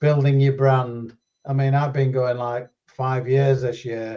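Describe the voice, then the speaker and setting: A man with a dark, mellow tone talks at medium pitch in a somewhat breathy way. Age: 70s. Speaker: drone videographer. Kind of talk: casual chat. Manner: hesitant.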